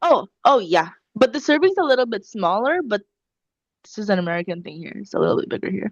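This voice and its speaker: A woman talks at a very fast pace in a fairly high pitch, with very wide pitch swings. The sound is dry and close with no echo, over a quiet background. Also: big swings in loudness. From Philippines. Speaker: podcast co-host. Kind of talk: casual chat.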